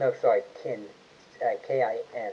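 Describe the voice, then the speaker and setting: A man mumbles his words. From Ireland. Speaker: online genealogy channel host. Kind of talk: live stream Q&A chat. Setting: YouTube livestream. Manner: mumbling; halting, many fillers.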